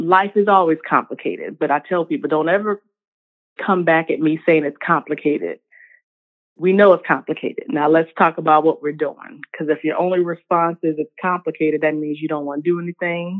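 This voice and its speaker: A woman with an American accent has a plain, everyday voice at a fairly low pitch. She talks at a fairly quick pace with fairly even intonation. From US South, Richmond, Virginia. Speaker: professor and health equity consultant. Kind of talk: interview.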